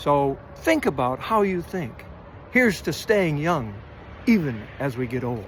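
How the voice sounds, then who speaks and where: A somewhat breathy man's voice with very wide pitch swings at a fairly slow pace. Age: 70s. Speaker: running vlogger. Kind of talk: casual monologue. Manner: halting with fillers.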